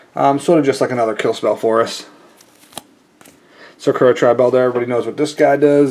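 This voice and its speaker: A man at a very fast pace with fairly even intonation, long, frequent pauses and noticeable background noise. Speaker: card game youtuber. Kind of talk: deck tech tutorial. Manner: casual, many fillers.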